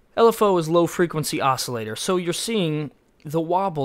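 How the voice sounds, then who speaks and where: In a very clean recording with total silence behind him, a man talks with normal pitch movement. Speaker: music production tutorial maker. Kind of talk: tutorial. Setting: screen capture recording. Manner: fast; halting.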